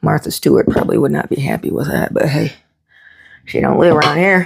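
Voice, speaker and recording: A woman's fairly quick speech with a slight Southern US accent. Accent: slight Southern twang. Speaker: homesteader and cooking vlogger. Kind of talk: cooking tutorial. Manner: casual, folksy.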